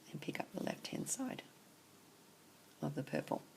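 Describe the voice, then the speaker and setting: A woman whispers at a moderate pace. Noticeable background noise runs behind her. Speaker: craft tutorial maker. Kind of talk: tutorial. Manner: quiet.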